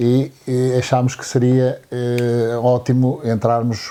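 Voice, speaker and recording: A man talks over noticeable background noise. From Angola. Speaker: accountant and local lodging owner. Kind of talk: interview. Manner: halting.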